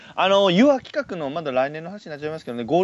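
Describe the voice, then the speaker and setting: This man has an animated tone. His pitch swings very widely. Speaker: podcast host. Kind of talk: casual chat.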